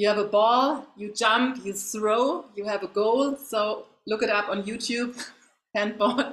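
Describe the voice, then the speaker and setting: Speaking with a German accent, a woman uses a fairly high pitch and fairly even intonation at a fairly slow pace. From Germany. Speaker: facial wellness coach, former athlete. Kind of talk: interview. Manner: halting.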